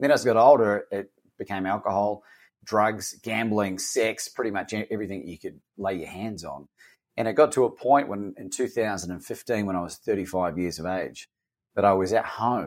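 At a moderate pace, a man speaks with an Australian accent on a very clean recording with a silent background. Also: fairly low pitch for a man, ordinary pitch variation. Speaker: coach and author. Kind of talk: casual interview conversation.

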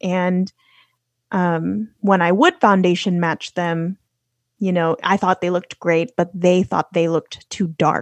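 In a Californian accent, a woman with a fairly low pitch speaks at a fairly slow pace with fairly even intonation, the sound dry and close with no echo over a quiet background. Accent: general American, Californian. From Los Angeles, California. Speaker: podcaster and traveler. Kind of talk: casual conversational interview.

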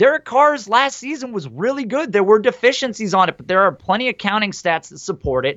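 Pitched high, a man talks at a fairly quick pace with hardly any pauses. His pitch swings very widely and his loudness shifts a lot. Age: 30s. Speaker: fantasy football podcast host. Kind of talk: casual chat.

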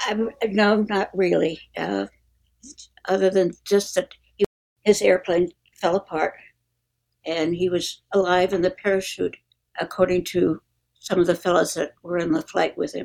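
A woman's medium-pitched voice with vocal fry, fairly even intonation, and long, frequent pauses. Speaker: military wife. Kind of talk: testimony.

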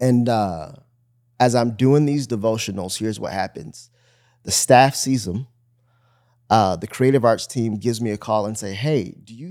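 In a normal speaking voice, a man with an American accent talks at a medium pitch and moderate pace with ordinary pitch variation. His loudness swings widely, and the recording is very clean with a silent background. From US Midwest, suburban Detroit, Michigan. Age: 30s. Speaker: teaching pastor. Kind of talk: casual conversation, faith interview.

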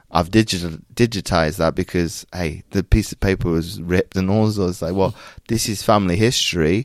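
A man with an American accent speaks at a very deep, low pitch and a moderate pace, his intonation fairly even. The recording is very clean, with a silent background and a dry, close sound with no echo. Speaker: Paralympian and mindset coach. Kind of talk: interview conversation. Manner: halting, many repetitions.

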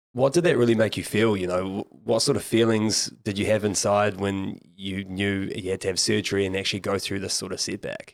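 With a New Zealand accent, a man talks at a fairly low pitch and a moderate pace, his intonation fairly even. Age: young. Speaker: podcast host. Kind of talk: casual chat.

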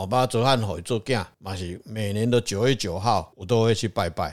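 A man talks at a moderate pace with hardly any pauses and ordinary pitch variation. His pitch is fairly low, and the recording is very clean with a silent background. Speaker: religious consultant on a podcast. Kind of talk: casual chat.

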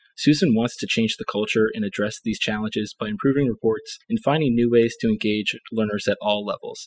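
A man speaks in a normal speaking voice with ordinary pitch variation, the sound dry and close with no echo. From Ohio, US. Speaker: medical student co-host.

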